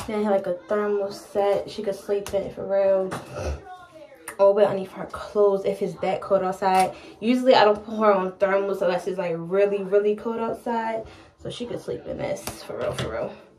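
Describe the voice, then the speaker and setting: A woman speaks at a moderate pace in a monotone, flat intonation over light background noise. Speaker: mom vlogger. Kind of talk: casual vlog chat. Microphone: camera far.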